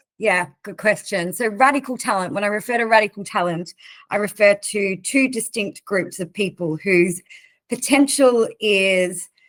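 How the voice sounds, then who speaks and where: The speaker has an Australian accent and ordinary pitch variation, heard in a very clean recording with a silent background. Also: woman, medium pitch for a woman, moderate pace. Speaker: recruitment organization leader. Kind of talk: interview.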